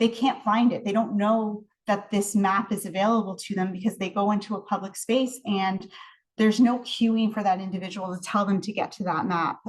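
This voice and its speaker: A woman with a Canadian accent, somewhat breathy, fairly quick pace, fairly even intonation. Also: medium pitch for a woman. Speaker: research scientist and professor. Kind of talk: research presentation. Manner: fast.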